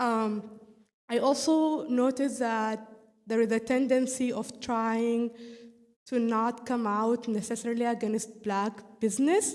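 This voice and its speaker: A woman with a non-native accent speaks at a fairly slow pace in a fairly high pitch. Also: fairly even intonation. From East Africa. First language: not English. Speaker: audience participant. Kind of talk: audience comment in a group call. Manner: halting, with fillers.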